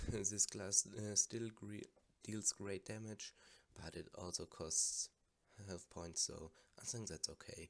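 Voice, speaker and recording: A quiet man speaks very slowly with a German accent and fairly even intonation. His loudness swings widely. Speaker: gamer. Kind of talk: casual game commentary.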